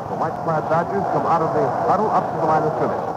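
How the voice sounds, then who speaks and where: This man talks at a very fast pace. Loud background noise sits behind him. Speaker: radio play-by-play announcer. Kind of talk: sports commentary. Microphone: old recording.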